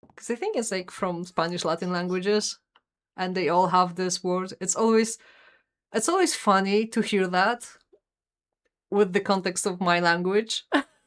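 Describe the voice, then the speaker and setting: In a Polish accent, a woman of medium pitch talks at a moderate pace with fairly even intonation and long, frequent pauses, on a very clean recording with a silent background. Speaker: vtuber streamer. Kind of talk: casual gameplay commentary. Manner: conversational.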